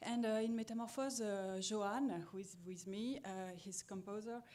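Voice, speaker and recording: A woman with a French accent and a medium pitch speaks at a moderate pace in a dark, mellow tone with fairly even intonation and audible room echo. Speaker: musician and teacher. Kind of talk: conference presentation. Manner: halting.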